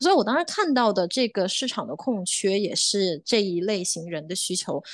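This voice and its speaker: A woman speaks in an ordinary speaking voice at a medium pitch, with lively intonation. Her pace is moderate, and the background is quiet. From China, Chongqing. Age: 20s. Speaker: choir founder and conductor. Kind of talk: podcast interview.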